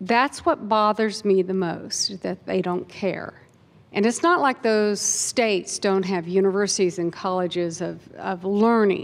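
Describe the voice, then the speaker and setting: An unremarkable speaking voice with an American accent, fairly slow pace and ordinary pitch variation. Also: woman, medium pitch for a woman. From Kansas. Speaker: audience member asking question. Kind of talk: audience question at panel.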